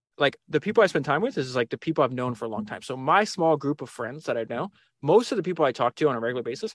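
The man's voice sits at a fairly high pitch with lively intonation. The sound is dry and close, with no echo. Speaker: podcast host, interview guest. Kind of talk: casual interview. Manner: high energy; fast.

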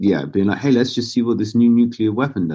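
A man speaks with a southern English accent and a dark, mellow tone. His pitch varies in an ordinary way. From southern England (Basingstoke, Hampshire). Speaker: clothing brand founder. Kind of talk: interview conversation. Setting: remote call.

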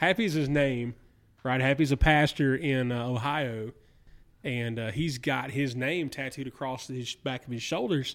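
The recording is very clean, with a silent background. A man speaks with a Southern US accent and fairly even intonation. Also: medium pitch for a man, fairly slow pace. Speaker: podcast host. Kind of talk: casual chat.

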